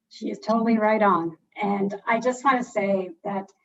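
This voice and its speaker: A woman talks in a plain, everyday voice, fairly high in pitch and at a fairly slow pace. Her intonation is lively. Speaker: philanthropy funder. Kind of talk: panel discussion.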